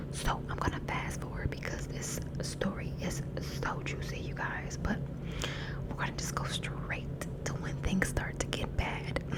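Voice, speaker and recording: Whispering, a woman keeps to a somewhat unhurried pace. Clear noise can be heard behind her. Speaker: ASMR content creator. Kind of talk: ASMR whisper storytime ramble. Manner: whispered, casual, chatty.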